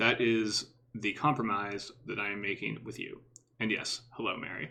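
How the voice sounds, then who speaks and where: The tone is bright and sharp, the intonation fairly even, and the pace moderate. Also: man. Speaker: video game streamer. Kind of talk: live game stream chat. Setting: live stream.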